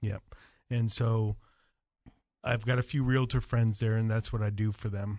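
Speaking at a moderate pace over a quiet background, a man with a medium pitch and a dark, mellow tone sounds somewhat breathy, with monotone, flat intonation. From Jamaica. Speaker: pest control company representative. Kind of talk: casual radio interview. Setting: radio studio.

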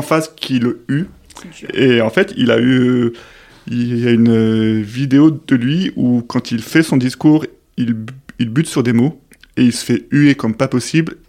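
A man speaks at a very slow pace, his medium pitch moving with ordinary variation. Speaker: podcast host. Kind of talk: interview. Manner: halting.

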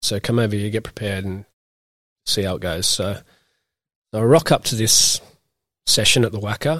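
On a very clean recording with a silent background, a man with an Australian accent speaks at a fairly low pitch with ordinary pitch variation and long, frequent pauses. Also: moderate pace, dry, close sound with no echo. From Australia, Newcastle NSW. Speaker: professional cricketer. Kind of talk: casual interview. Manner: hesitant, many fillers.

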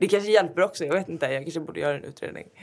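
A woman talking at a very fast pace, with ordinary pitch variation. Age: 20s. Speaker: fashion editor and blogger. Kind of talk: interview.

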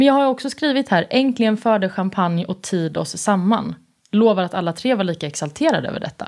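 The recording is very clean, with a silent background. A woman with a slight Småland accent speaks at a medium pitch and a fairly quick pace, with lively intonation. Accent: slight Värnamo dialect. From Värnamo, Småland, Sweden. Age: 30s. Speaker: TV host and journalist. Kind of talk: casual interview chat.

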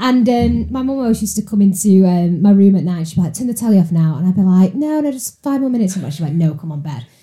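Speaking very fast in a Mancunian accent, a woman at medium pitch has a somewhat breathy, dark, mellow tone and very wide pitch swings. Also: hardly any pauses. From Salford, Greater Manchester, northern England. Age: 30s. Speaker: recruitment worker. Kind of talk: casual chat.

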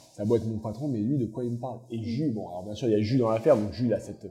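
With music in the background, a man at a medium pitch speaks at a very fast pace with fairly even intonation. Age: 20s. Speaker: bakery co-owner. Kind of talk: casual chat.

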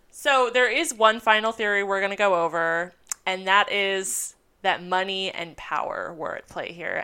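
Recorded very cleanly against a silent background, a woman of medium pitch speaks in a normal speaking voice at a moderate pace with ordinary pitch variation. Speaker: history podcaster. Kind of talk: casual conversation with history storytelling.

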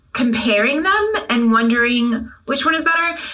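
At a moderate pace, a woman with a high pitch speaks with ordinary pitch variation over noticeable background noise. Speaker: podcast co-host discussing literature. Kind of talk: casual intellectual conversation.

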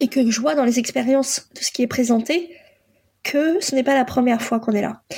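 Pitched high, a woman speaks with a dark, mellow tone and ordinary pitch variation. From France, born in Poland. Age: 40s. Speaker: life coach and psychotherapist. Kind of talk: personal testimony. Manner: hesitant, many fillers.

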